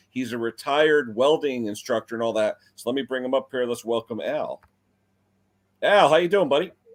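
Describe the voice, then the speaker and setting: A man with a normal speaking voice talks at a fairly quick pace, medium in pitch with ordinary pitch variation. The sound is dry and close with no echo. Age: 50s. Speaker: small engine repair youtuber. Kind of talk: live stream chat. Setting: live stream.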